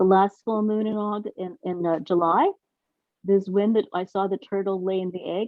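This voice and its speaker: This woman's voice sits at a medium pitch, moving at a moderate pace with fairly even intonation. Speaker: meeting participant. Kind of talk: sharing dreams and experiences in a meeting. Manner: halting.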